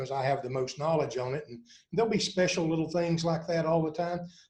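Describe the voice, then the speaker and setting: The delivery is very fast and somewhat breathy. Intonation stays fairly even throughout. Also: man. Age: 60s. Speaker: university athletics administrator, former basketball coach. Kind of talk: podcast interview.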